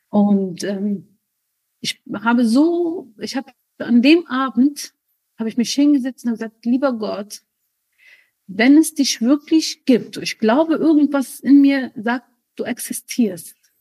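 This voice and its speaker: A woman with an Arabic accent, a high pitch and a dark, mellow tone speaks at a very slow pace with long, frequent pauses. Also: lively intonation. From Germany, raised from age three, born in Lebanon. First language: Arabic (speaking German). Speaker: spiritual guest, mother. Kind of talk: personal testimony interview.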